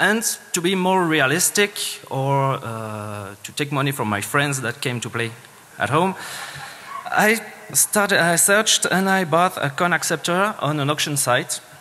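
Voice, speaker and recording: Over noticeable background noise, a man with a Swiss French accent talks at a fairly slow pace with very wide pitch swings. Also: fairly high pitch for a man. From Switzerland (French-speaking). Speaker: security engineer, conference speaker. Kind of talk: conference talk. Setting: stage with audience. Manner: hesitant, many fillers.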